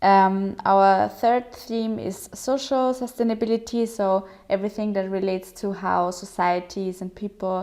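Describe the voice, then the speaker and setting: A woman with a German accent, medium-pitched, dark and mellow in tone, fairly even in intonation, at a fairly slow pace with hardly any pauses. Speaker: digital policy program organizer. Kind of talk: presentation. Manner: hesitant with fillers.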